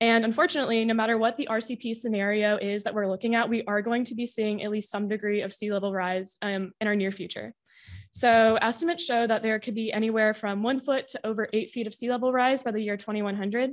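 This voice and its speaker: Against a quiet background, a woman talks in a plain, everyday voice with a fairly high pitch. Her pace is fairly quick, with hardly any pauses and fairly even intonation. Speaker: university student presenter. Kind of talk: conference lightning talk. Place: hall.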